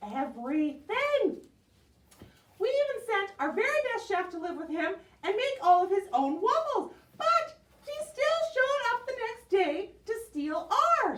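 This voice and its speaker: A cartoonish character voice, extremely high and fairly slow, with very wide pitch swings. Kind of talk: puppet show performance. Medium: puppet.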